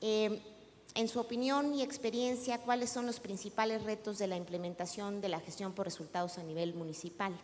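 At a moderate pace, a woman with a plain, everyday voice talks at a fairly high pitch with ordinary pitch variation over light background noise. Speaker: panel moderator. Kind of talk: panel moderation. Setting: stage with audience. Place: hall. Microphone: handheld.

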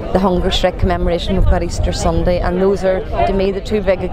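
A woman talks at a very fast pace. Crowd noise sits in the background of a dry recording with no echo. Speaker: local politician at event. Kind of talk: interview answer. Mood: earnest, warm. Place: street.

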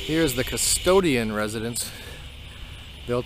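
A man with ordinary pitch variation, music in the background and a dry sound with no echo. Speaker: family vlogger. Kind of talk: casual vlog chat. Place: open country. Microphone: phone near.

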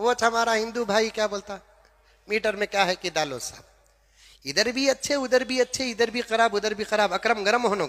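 The man's voice is high-pitched with a bright, sharp tone. His pitch varies in an ordinary way. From Bangalore, India. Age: old. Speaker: Islamic preacher. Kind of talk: sermon.

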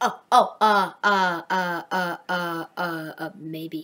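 Here is a cartoonish character voice at a middle pitch. It moves at a very slow pace. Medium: puppet. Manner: excitable.

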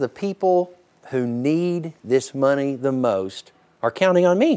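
Set against a quiet background, a man is talking. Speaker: charity auctioneer. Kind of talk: casual storytelling to camera, interview answer. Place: farm machine. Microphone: lapel.

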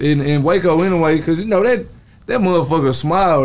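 A man with an American accent speaks at a high pitch. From Texas. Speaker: rapper. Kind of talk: casual chat. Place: shop. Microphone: studio mic.

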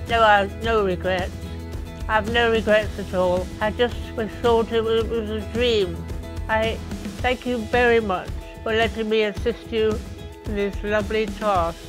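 Over clear music in the background, a woman speaks at a moderate pace with long, frequent pauses. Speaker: former fashion model. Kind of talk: interview answer. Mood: warm, grateful.

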